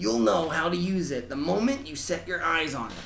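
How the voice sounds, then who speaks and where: Over clear background noise, a man puts on a character voice, fairly high in pitch and at a fairly quick pace. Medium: read story. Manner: earnest.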